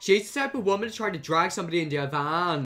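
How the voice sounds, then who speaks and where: Lively intonation marks this man's very fast speech. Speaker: youtuber. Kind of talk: reaction video commentary. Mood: mocking, amused disbelief. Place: home room. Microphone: earbuds.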